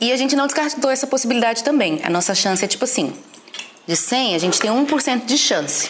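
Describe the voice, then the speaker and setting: The speaker moves at a fairly quick pace with lively intonation and very even loudness. Noticeable background noise and audible room echo are in the recording. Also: woman, high pitch for a woman. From Recife, Brazil. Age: 30s. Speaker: church history teacher. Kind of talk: casual chat. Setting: at her home.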